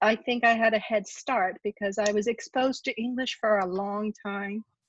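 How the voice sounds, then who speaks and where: A woman with an American accent, fairly high-pitched, at a moderate pace with fairly even intonation and hardly any pauses, in a dry, close sound with no echo against a quiet background. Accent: sounds American. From Japan. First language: Japanese. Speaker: university ombudsperson. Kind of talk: presentation.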